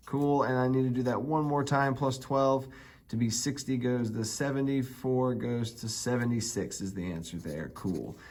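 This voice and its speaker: There's an audible room echo. A man speaks at a medium pitch. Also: ordinary pitch variation, moderate pace. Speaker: math teacher. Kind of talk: tutorial. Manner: animated.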